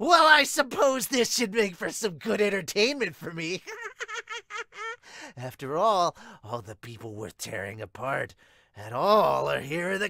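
A man performs a cartoonish character voice at high pitch. He keeps a moderate pace with long, frequent pauses. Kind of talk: anime dub acting. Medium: fan dub. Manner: gleeful, manic, taunting.

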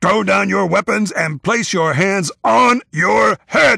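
In a put-on character voice, a man speaks slowly at a high pitch with vocal fry, a bright, sharp tone and a slightly husky edge, in a dry, close sound with no echo on a very clean recording with a silent background. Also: ordinary pitch variation.

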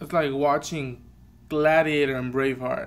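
The intonation stays flat and monotone. The speaker is male. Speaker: reaction vlogger. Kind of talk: casual vlog chat. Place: home room. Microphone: webcam.

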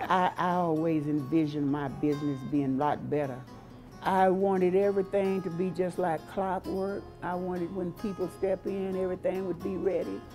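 A woman's voice at a fairly quick pace with ordinary pitch variation, clear music in the background. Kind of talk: interview answer. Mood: warm, proud, good-humored. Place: cafe.

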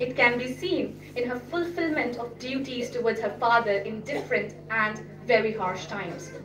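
With hardly any pauses, a woman talks at a moderate pace in a high pitch and lively intonation, with noticeable background noise. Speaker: speaker. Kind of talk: speech. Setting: stage with audience. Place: hall. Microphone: podium.

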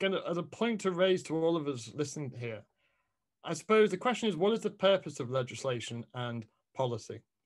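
The pitch swings very widely at a fairly quick pace. The background is quiet. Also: man. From England. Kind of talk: academic presentation. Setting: video call. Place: home room. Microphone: video call.

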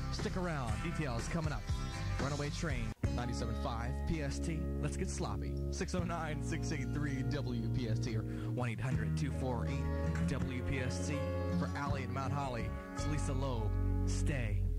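Loud music plays behind a man talking at a moderate pace. The sound is dry, with no echo. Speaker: radio DJ. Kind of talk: radio station promo and on-air DJ patter. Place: studio.

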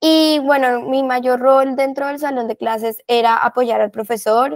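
A woman's high-pitched voice at a moderate pace, with ordinary pitch variation and a quiet background. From Colombia. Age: 20s. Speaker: volunteer. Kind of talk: interview. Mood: warm, reflective. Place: home room. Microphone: earbuds.

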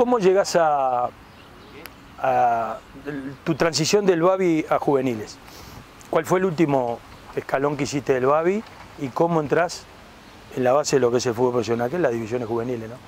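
Over light background noise in a dry sound with no echo, a man with a fairly high pitch talks at a moderate pace with lively intonation and long, frequent pauses. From Uruguay. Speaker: retired footballer turned interview host. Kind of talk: casual sports interview. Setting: outdoors in a park. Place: garden. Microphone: lapel.

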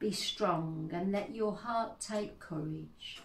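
Over light background noise and audible room echo, a woman speaks very slowly in a solemn, somewhat breathy tone. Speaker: service leader. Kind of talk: church service, liturgy and prayers; fervent intercessory prayer. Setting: church service, online. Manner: earnest, solemn, slow and heartfelt; warm, welcoming. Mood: calm, solemn. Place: home room. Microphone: phone near.

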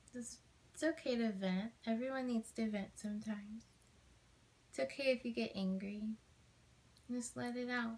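Soft-spoken and somewhat breathy, a woman talks in a fairly high pitch with a gentle, warm tone, ordinary pitch variation and long, frequent pauses. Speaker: ASMR creator. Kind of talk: asmr comfort roleplay, soothing friend talking a tired listener toward sleep. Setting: video call roleplay. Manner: soft, gentle, slow and nurturing, with warm pauses and small laughs; sleepy hushed tone, intimate and reassuring. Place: home room. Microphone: phone near.

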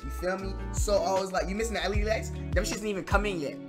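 Very fast speech from a man over clear music in the background. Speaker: streamer. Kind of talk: casual stream chat. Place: home room.

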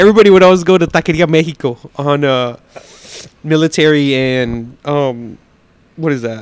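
In a dry recording with no echo, a man with an American accent and fairly high pitch speaks at a moderate pace with ordinary pitch variation and long, frequent pauses. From Texas. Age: 30s. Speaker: pitmaster and restaurant owner; podcast guest. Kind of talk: casual chat; interview answer. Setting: on location at a restaurant. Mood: relaxed, animated storytelling. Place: home room. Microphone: handheld.

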